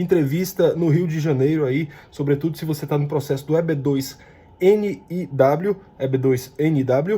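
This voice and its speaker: Here a man has a fairly high pitch, ordinary pitch variation and an ordinary speaking voice. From Brazil. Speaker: YouTuber on US immigration. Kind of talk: informational vlog. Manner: casual, direct to viewer.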